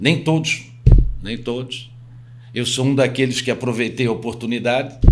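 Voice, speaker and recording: Audible room echo fills the space. A man of medium pitch speaks at a moderate pace. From Itajaí, Santa Catarina, southern Brazil. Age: 60s. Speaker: real estate agent. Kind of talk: podcast interview.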